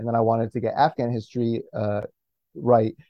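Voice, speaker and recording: This man has an unremarkable speaking voice with an American accent. His pitch is medium and his pace moderate. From US Midwest. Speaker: comic book writer. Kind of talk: casual interview.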